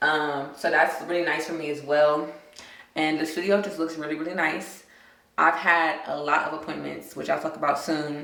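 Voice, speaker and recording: A woman with a very deep, low voice speaks at a moderate pace in a monotone, flat way, with audible room echo and noticeable background noise. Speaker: lifestyle vlogger. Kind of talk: casual vlog review.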